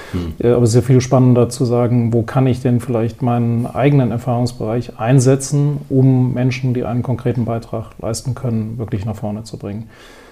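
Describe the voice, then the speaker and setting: A man talks at a medium pitch and a fairly quick pace with hardly any pauses. Noticeable background noise runs underneath. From Wiesbaden, Hesse, Germany. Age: 50s. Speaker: business owner and education philanthropist. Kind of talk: interview.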